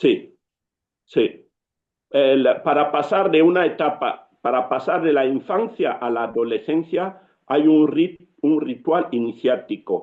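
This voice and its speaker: A man speaks with a Cameroonian accent at a very slow pace. His pitch is fairly high, with ordinary variation. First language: Yambasa (speaking Spanish). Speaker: writer and storyteller. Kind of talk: interview.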